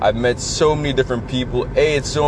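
A man's monotone, flat delivery at a moderate pace, with noticeable background noise. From Canada. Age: 20s. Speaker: podcast host. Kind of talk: motivational monologue. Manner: casual, conversational.

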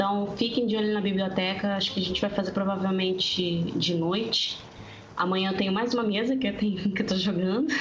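Over noticeable background noise and audible room echo, a woman speaks at a medium pitch and a fairly quick pace. Her intonation is monotone and flat, and her loudness stays very even. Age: 20s. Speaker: tabletop RPG player. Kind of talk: casual chat.

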